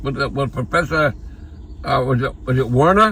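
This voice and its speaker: A man with a fairly high pitch speaks at a moderate pace with lively intonation. His tone is bright and sharp, with vocal fry. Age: 80s+. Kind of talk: casual chat.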